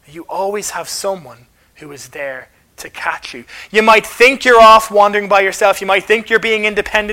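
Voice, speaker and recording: At a moderate pace, a man projects a raised voice. His pitch is high and his tone bright and sharp. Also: ordinary pitch variation, big swings in loudness. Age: 30s. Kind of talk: talk at a church carol service.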